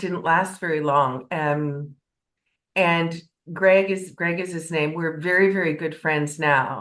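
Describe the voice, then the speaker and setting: A woman speaks at a very slow pace in a fairly low voice. Her intonation is fairly even. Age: 60s. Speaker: podcast guest. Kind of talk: casual interview chat. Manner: halting, many restarts.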